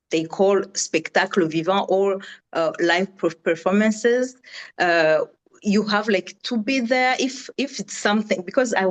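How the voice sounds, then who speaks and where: A woman's medium-pitched voice, ordinary pitch variation, a fairly slow pace, in a Rwandan accent. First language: Kinyarwanda. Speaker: audience member asking a question. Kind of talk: Q&A question in video call. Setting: video call. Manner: halting, many fillers and repetitions.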